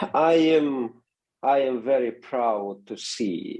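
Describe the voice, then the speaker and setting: The voice belongs to a man speaking with a non-native accent. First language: not English. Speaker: seminary president and pastor. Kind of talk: interview. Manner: halting.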